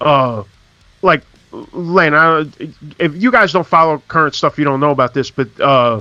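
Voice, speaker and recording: With music in the background, a man with a New York accent and fairly high pitch speaks at a moderate pace with lively intonation, very even loudness and long, frequent pauses, in a dry, close sound with no echo. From New York, the Bronx. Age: 40s. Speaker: podcast host. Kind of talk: casual chat.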